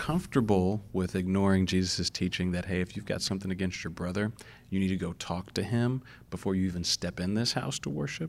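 A man with a very deep, low pitch talks at a fairly quick pace. His pitch variation is ordinary, and the recording is very clean with a silent background. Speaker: youth minister. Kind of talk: casual long-form interview.

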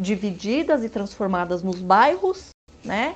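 A woman is speaking. Her voice sits at medium pitch. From São Bernardo do Campo, Brazil. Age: 40s. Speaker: history teacher. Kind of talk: interview. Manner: hesitant with fillers.

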